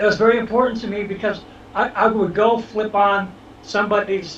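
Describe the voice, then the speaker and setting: A man is speaking here. He talks with a Boston accent at a moderate pace. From Boston, Dorchester (Massachusetts). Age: 60s. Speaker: social media influencer. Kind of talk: casual interview.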